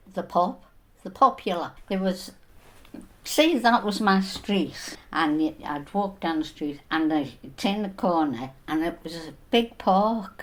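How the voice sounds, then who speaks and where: A woman with a medium pitch speaks at a very slow pace. Her intonation is lively. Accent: Liverpool. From northern England, Liverpool (Everton). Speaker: elderly interviewee sharing memories. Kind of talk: reminiscence interview.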